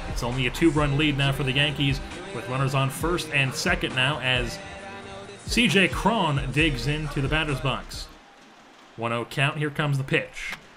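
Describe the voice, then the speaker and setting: A man at a moderate pace, fairly high pitch and ordinary pitch variation, with music in the background. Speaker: sports gaming commentator. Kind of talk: sports play-by-play broadcast. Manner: energetic, enthusiastic.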